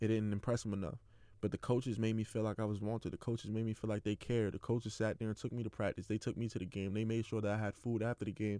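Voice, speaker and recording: Delivered at a very fast pace in a New York accent, the dark, mellow voice keeps monotone, flat intonation and very even loudness, with a dry, close sound and no echo. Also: man, fairly low pitch for a man. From New York City (Queens). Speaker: athlete podcaster. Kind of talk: personal monologue.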